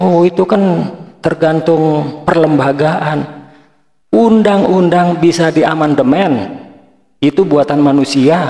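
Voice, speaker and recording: Ordinary pitch variation marks this man's voice as he speaks at a very slow pace. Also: fairly high pitch for a man, very even loudness. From Indonesia. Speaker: reaction video commentator. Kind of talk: reaction commentary.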